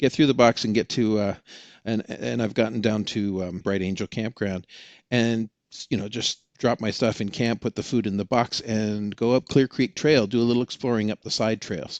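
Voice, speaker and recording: A man speaks in a plain, everyday voice at a medium pitch and a moderate pace, with fairly even intonation. The sound is dry and close with no echo, over a quiet background. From Oregon. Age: 60s. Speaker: experienced canyon hiker. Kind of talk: podcast interview.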